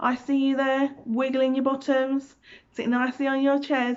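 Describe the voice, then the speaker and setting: A high-pitched woman with a British accent, at a moderate pace. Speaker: preschool teacher reading stories. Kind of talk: children's storytime reading. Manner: loud; animated.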